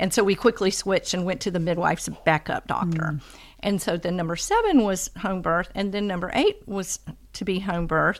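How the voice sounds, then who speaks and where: A woman's medium-pitched voice, an unremarkable speaking voice. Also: fairly even intonation, fairly quick pace. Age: 60s. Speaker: homeschooling mother of eight. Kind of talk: casual chat.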